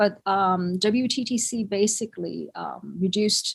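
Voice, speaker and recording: A woman with a Thai accent talks in a somewhat breathy voice with fairly even intonation. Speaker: conference speaker in the hotel industry. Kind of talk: conference presentation. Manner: halting, many fillers.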